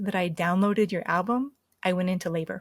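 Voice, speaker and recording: A woman's somewhat breathy, medium-pitched voice with an American accent and fairly even intonation, dry and close with no echo, on a very clean recording with a silent background. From US East Coast. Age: 50s. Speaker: medicine singer and near-death experiencer. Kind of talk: interview.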